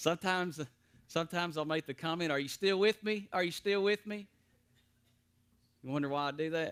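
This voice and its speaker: With a Tennessee accent, a man talks at a fairly quick pace in a fairly high voice with ordinary pitch variation. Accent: Southern US (Tennessee). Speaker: preacher teaching Bible class. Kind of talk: Bible study teaching. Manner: gets loud at times when preaching; hesitant with fillers and repeats.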